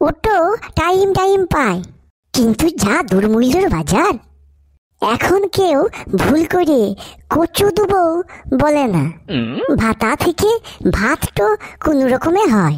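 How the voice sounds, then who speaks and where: A woman's cartoonish character voice, high-pitched and fairly slow, with very wide pitch swings and very even loudness. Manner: sarcastic, quick-witted.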